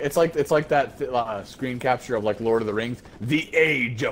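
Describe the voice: Simply plain reading aloud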